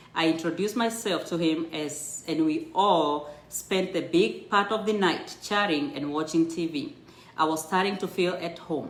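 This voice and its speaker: A woman with a strong Kenyan accent speaks at a fairly low pitch and a moderate pace. Her pitch varies in an ordinary way, and the room echo is audible. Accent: thick Kenyan. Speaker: storyteller sharing her immigrant life story. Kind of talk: personal storytelling, reading a memoir aloud on a livestream. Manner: halting with self-corrections.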